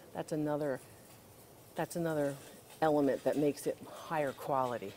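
A woman talks at a moderate pace. Her pitch is very deep and low, with light background noise behind her. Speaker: antiques appraiser host. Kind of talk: casual shopping vlog with expert commentary. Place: shop. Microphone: lapel.

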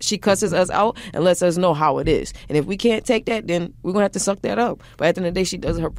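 On a very clean recording with a silent background, a woman talks at a very fast pace, her fairly low voice showing vocal fry and ordinary pitch variation. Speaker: college basketball player. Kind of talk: interview answer. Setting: studio.

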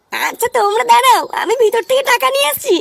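Putting on a cartoonish character voice, a woman speaks at a moderate pace in an extremely high pitch with very wide pitch swings.

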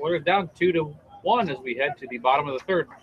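At a very fast pace, a man speaks with fairly high pitch and ordinary pitch variation over noticeable background noise. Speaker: play-by-play announcer. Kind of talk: live sports commentary, play-by-play. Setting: broadcast booth at a baseball game. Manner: fast, fluent, animated play-by-play delivery with clipped pitch-by-pitch calls.

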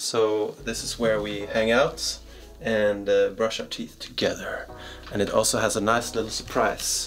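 Clear music plays in the background. A man talks at a fairly slow pace. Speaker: travel vlogger. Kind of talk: casual vlog chat. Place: home room.

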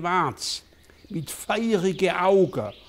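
A man speaks with a Swabian accent in a high voice with ordinary pitch variation. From Southwestern Germany. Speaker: politician. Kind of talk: children's story reading. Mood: calm, playful storytelling. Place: home room. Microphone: lapel.

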